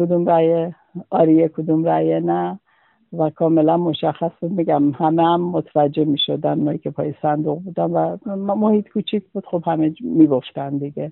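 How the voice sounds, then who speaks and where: A normal speaking voice from a man, fairly high in pitch, at a moderate pace with fairly even intonation. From Khuzestan, Iran (Ahvaz). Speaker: witness recounting the 1979 referendum. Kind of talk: personal testimony interview.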